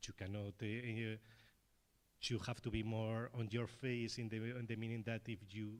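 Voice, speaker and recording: At a medium pitch and a moderate pace, a man with a Spanish accent talks with fairly even intonation. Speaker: filmmaker at festival panel. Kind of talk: panel discussion.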